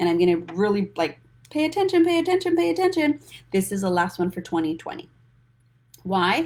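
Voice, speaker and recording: Animated in tone, a woman speaks at a fairly quick pace with long, frequent pauses. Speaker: financial coach. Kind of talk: live stream talk. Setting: social media livestream. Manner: fast.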